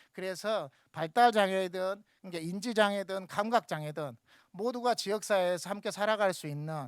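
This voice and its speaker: Fairly quick pace on a very clean recording with a silent background. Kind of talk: panel discussion remarks. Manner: talkative, long-winded.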